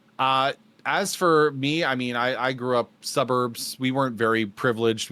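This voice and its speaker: With a Canadian accent, a man talks at a moderate pace in a normal speaking voice with ordinary pitch variation, recorded very cleanly over a silent background. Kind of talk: casual, conversational.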